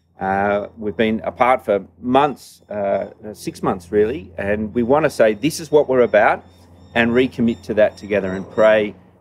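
Pitched fairly low, a man talks at a moderate pace with ordinary pitch variation and few pauses.

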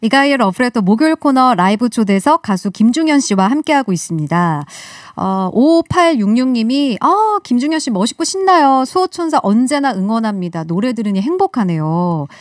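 A cheerful voice moves at a moderate pace with very wide pitch swings. The sound is dry with no echo, over a quiet background. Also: woman, high pitch for a woman. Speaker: radio host. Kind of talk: radio interview. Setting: studio. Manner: cheerful, laughs often. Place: studio. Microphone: studio mic.

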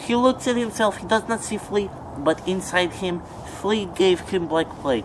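There's noticeable background noise. Through it, a man talks. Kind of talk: comedic character monologue. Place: garden. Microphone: camera far.

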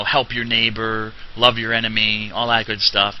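A man's medium-pitched voice with an American accent, over noticeable background noise. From New Jersey. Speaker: religious teacher. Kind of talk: lecture. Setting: classroom. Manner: halting.

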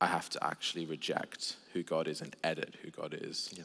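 Over a quiet background, a man with an Australian accent talks at a fairly slow pace. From Australia (Sydney). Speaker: theologian and preacher; preacher. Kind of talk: casual chat. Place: church. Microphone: headset.

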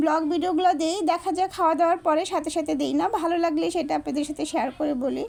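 Her intonation fairly even, a woman speaks at an extremely high pitch. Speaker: lifestyle vlogger. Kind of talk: casual vlog narration.

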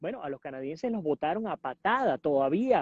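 A man at a moderate pace, with a dry, echo-free sound over a quiet background. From Venezuela, Puerto Ordaz; Venezuela. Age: 40s. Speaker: journalist and political analyst; journalist, political analyst. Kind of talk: interview. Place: garden. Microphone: earbuds.

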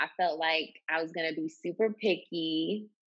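A woman with an American accent, an ordinary speaking voice, fairly low in pitch, with fairly even intonation and a quiet background. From Maryland, near Baltimore. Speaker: hairstylist; podcast guest. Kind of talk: interview. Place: home room. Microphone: earbuds.

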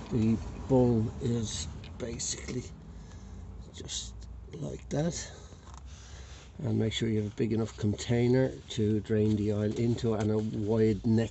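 Over light background noise, a man speaks at a fairly slow pace in a fairly low pitch. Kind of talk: tutorial. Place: street. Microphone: phone near.

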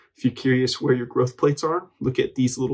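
A man speaks in a somewhat breathy voice. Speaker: educational video creator. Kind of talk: educational explainer narration.

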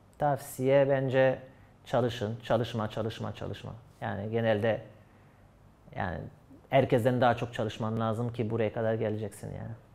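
In a French accent, a man speaks at a moderate pace with monotone, flat intonation. He leaves long, frequent pauses. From France. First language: French (speaking Turkish). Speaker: esports player. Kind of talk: interview answers. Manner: halting. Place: studio. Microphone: lapel.

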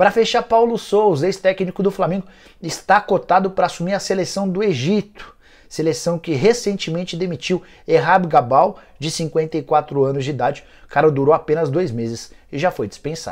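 Against a quiet background, this voice keeps a moderate pace and shows ordinary pitch variation. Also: man, high pitch for a man. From Brazil. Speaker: football journalist. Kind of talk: sports news roundup. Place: studio. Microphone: lapel.

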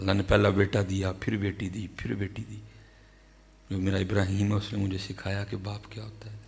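A man speaks at a moderate pace with a fairly low pitch and vocal fry. His intonation is monotone and flat, though his loudness swings widely. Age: 30s. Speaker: Islamic preacher. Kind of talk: sermon. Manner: emotional. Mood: emotional personal storytelling. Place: hall. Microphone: studio mic.

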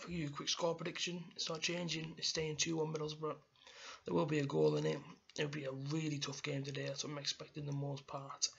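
Monotone and flat, a man speaks at a fairly quick pace. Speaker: football fan vlogger. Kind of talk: casual vlog chat. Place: home room. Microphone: webcam.

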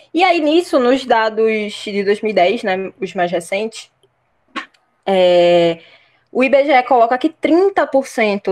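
Her fairly high pitch swings very widely as this woman talks at a very slow pace. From Olinda, Pernambuco, Brazil. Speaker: history teacher and master's student. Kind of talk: podcast discussion, explanatory.

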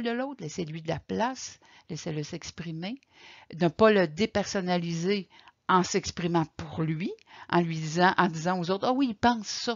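This woman's voice sits fairly low, with ordinary pitch variation. She talks at a fairly slow pace against a quiet background. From Quebec. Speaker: caregiver support coordinator; presenter. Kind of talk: lecture. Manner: halting. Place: home room. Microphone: webcam.

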